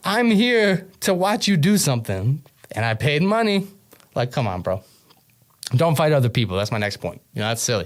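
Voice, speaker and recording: A man with an American accent, fairly high in pitch with very wide pitch swings, at a moderate pace with long, frequent pauses. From New York. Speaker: podcast host. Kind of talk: comedic monologue. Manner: animated.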